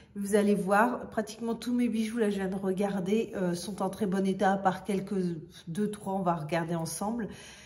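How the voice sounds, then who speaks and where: Fairly even intonation from a woman at medium pitch, with audible room echo. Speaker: fashion vlogger. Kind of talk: casual product show-and-tell. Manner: hesitant, many fillers.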